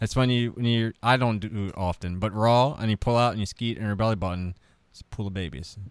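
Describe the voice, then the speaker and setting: A man speaks in a normal speaking voice at a fairly quick pace. His pitch is fairly low, with ordinary pitch variation. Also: very clean recording, silent background. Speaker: comedian. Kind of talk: casual chat, comedy podcast interview.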